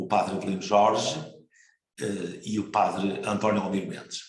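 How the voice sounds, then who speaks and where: A man's voice, somewhat breathy, with room echo clearly audible. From northern Portugal, Marco de Canaveses. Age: 60s. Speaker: priest. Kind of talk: interview. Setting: broadcast program.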